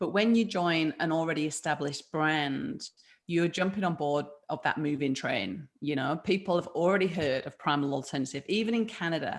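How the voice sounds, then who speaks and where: A woman with a British accent speaks at a moderate pace and a fairly low pitch, her intonation lively. The recording is very clean, with a silent background. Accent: UK. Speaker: food business founder and health coach. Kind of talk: interview. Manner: animated.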